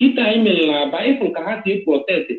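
A man talks at a moderate pace with very wide swings in pitch, against a quiet background with audible room echo. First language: Igbo. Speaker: speaker. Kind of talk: casual chat. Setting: phone call. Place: home room. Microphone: video call.

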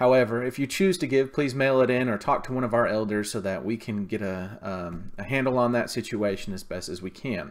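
A man at a fairly quick pace with ordinary pitch variation, over a quiet background. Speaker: church minister. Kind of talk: church announcements. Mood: warm, calm. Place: home room. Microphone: webcam.

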